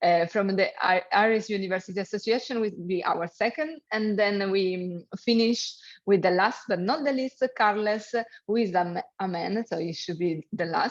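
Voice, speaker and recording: A woman speaks with a strong Italian accent at a medium pitch. The background is quiet. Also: ordinary pitch variation, moderate pace. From Italy. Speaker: webinar moderator. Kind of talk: event moderation.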